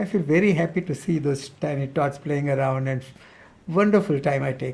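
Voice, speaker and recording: A man with a fairly high pitch and a somewhat breathy voice talks at a fairly quick pace. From India, Pune (Maharashtra). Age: 70s. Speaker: retired army officer. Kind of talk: interview.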